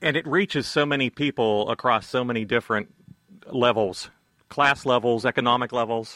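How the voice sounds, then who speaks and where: A bright, sharp tone comes through. The speech moves at a moderate pace. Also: man, medium pitch for a man, ordinary pitch variation, dry, close sound with no echo. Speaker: radio host. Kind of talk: radio interview. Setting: studio.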